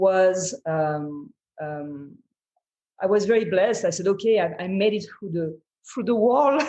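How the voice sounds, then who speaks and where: In a French accent, the voice has a dark, mellow tone and moves at a fairly slow pace. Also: woman. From France. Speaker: entrepreneur. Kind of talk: interview answer.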